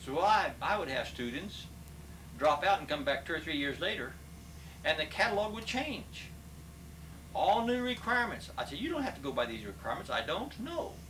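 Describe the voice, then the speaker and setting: Amid noticeable background noise and audible room echo, a man with an American accent speaks in a high pitch with very wide pitch swings. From Kansas. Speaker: retired business professor. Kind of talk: interview. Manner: fast.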